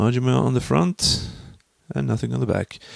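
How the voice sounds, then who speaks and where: A man with a Swedish accent at a moderate pace, very wide pitch swings, a dry sound with no echo, and a quiet background. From Sweden. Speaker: vlogger and language student. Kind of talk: casual vlog monologue. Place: home room. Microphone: studio mic.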